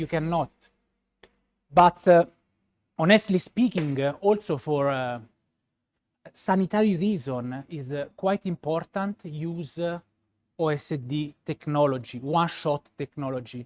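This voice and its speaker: With a Roman accent and a fairly high pitch, a man talks at a fairly slow pace with ordinary pitch variation and long, frequent pauses, in a dry, close sound with no echo. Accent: Roman Italian. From Italy, Rome. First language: Italian. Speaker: pastry chef. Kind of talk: live product demonstration. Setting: demo laboratory, live stream. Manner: hesitant, many filler sounds.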